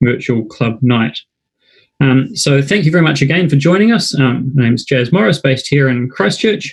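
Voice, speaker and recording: Somewhat breathy and in a New Zealand accent, the voice moves at a moderate pace with ordinary pitch variation. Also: man. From New Zealand, Wellington. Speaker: club night host. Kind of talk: live webinar hosting. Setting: online live broadcast. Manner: hesitant, many fillers.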